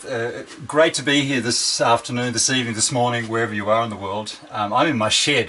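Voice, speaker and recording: This speaker has an Australian accent and talks at a fairly quick pace with fairly even intonation. Noticeable background noise sits behind the voice. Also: man. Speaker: organizational psychologist and keynote speaker. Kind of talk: keynote presentation. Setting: video call from home shed.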